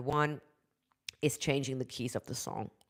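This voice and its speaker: Very low, deep female voice, normal rise and fall in pitch, at an even, middling tempo. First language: German. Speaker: vocal coach. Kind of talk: live stream talk. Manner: halting.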